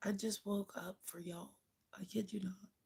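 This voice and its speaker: This woman's voice sits at a medium pitch, with a dark, mellow tone that comes across somewhat breathy. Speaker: livestreamer. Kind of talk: casual chat. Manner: casual, chatty.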